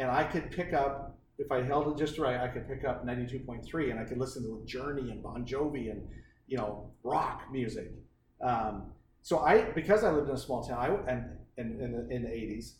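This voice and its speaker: Amid noticeable background noise and audible room echo, a man speaks at a moderate pace with a medium pitch and ordinary pitch variation. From eastern Oregon, US Northwest. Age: 40s. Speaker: business co-founder and mentor. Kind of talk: casual chat.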